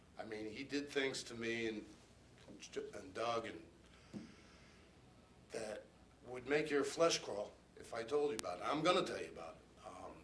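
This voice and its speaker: A man speaks with big swings in loudness and long, frequent pauses. Audible room echo is present. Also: medium pitch for a man, ordinary pitch variation, moderate pace. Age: 60s. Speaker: abuse survivor. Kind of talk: testimony. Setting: press conference.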